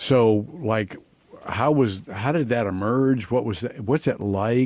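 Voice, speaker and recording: A man speaks with an American accent at a medium pitch. His pace is very slow, with ordinary pitch variation. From small-town US. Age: 70s. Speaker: pastor and spiritual adviser. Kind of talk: casual conversation interview.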